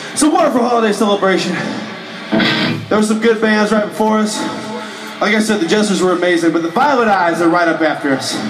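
Very fast speech over faint music in the background. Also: man. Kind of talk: stage banter. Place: bar. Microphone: pa.

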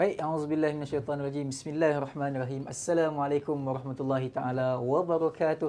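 Barely pausing, a man talks at a very fast pace. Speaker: religious talk show host. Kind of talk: live talk show opening to viewers. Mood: cheerful, smiling. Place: home room. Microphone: lapel.

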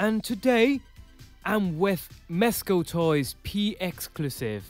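A man speaking at a very slow pace, with music in the background. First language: not English. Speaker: toy collector and reviewer. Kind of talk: casual toy review voice-over.

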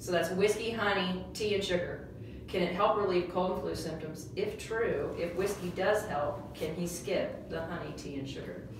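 A woman's voice amid noticeable background noise and audible room echo. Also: medium pitch for a woman, moderate pace. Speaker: co-host reading viewer questions. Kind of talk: casual interview Q&A. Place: office. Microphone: camera far.

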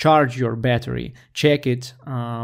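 This voice belongs to a man. Nothing much can be heard behind him. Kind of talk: tutorial. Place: home room. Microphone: studio mic.

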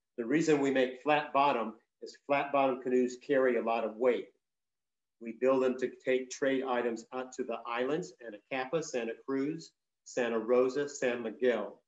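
With a quiet background but audible room echo, a man speaks at a fairly slow pace with fairly even intonation. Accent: American. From Southern California. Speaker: traditional storyteller and Chumash elder; traditional storyteller. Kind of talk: talk to an audience. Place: home room. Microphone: video call.

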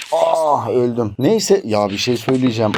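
An animated man speaks at a fairly slow pace, with a medium pitch and very wide pitch swings. Noticeable background noise is present. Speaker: tech reviewer. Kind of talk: product review.

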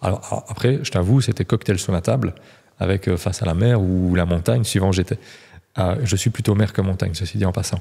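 Against a quiet background, a man with a dark, mellow tone and a somewhat breathy, fairly low voice talks at a fairly quick pace with ordinary pitch variation. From Belgium. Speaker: real estate coach, former agency manager; real estate coach. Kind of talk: casual interview. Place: studio. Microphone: studio mic.

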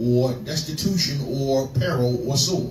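Amid light background noise, a man's voice carries audible room echo. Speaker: preacher. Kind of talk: scripture reading in a sermon. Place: church.

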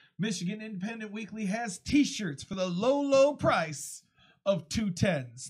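Against a quiet background, the voice moves at a very slow pace. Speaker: podcast host. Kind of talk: casual chat with promotional reads. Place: studio. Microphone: studio mic.

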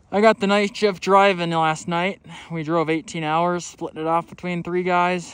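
A man at a moderate pace, the sound dry with no echo. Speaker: outdoor vlogger. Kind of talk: casual vlog chat. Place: open country. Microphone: phone near.

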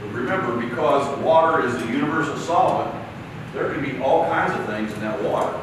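Strong room echo fills the recording. Noticeable background noise runs beneath it. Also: man. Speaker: trainer presenting to plumbers. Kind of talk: lecture. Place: classroom.

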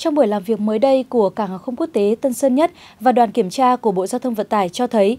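In a dry, close sound with no echo, a woman speaks at a fairly quick pace with a fairly high pitch, a dark, mellow tone and ordinary pitch variation. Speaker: news anchor. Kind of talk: news reading. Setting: studio. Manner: formal.

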